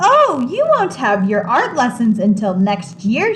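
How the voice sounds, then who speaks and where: A woman uses a put-on character voice pitched fairly high, speaking at a fairly slow pace. Clear background noise runs behind her. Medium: read story.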